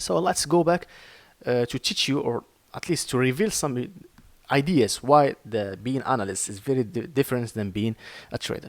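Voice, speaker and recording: Speaking with an Arabic accent, a man of medium pitch keeps a moderate pace and lively intonation. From Morocco. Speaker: trading educator. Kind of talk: tutorial. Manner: halting.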